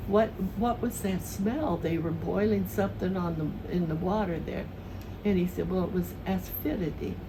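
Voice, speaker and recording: The speaker has an American accent and a moderate pace. Noticeable background noise is present. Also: woman. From southern Missouri. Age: 80s+. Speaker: retired elementary school teacher. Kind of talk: interview answer, reminiscing.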